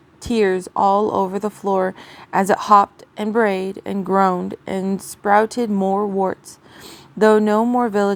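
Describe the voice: Someone simply reads the text aloud, plainly.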